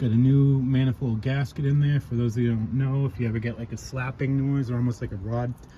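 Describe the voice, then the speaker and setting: With a dark, mellow tone, a man speaks very fast at a medium pitch, somewhat breathy and with fairly even intonation. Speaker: amateur car mechanic, channel owner. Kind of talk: tutorial. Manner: stuttering.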